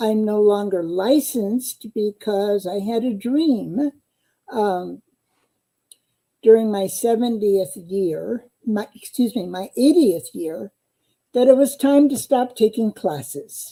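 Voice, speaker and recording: A woman's fairly high voice with a dark, mellow tone and lively intonation, in a US Midwestern accent, at a very slow pace. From US Midwest (eastern Iowa). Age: 80s+. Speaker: psychotherapist and dream analyst. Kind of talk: interview.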